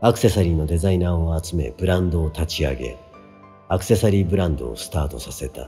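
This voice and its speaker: Music plays behind a man talking very fast in a very deep, low pitch with ordinary pitch variation. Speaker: musician. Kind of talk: audiobook reading.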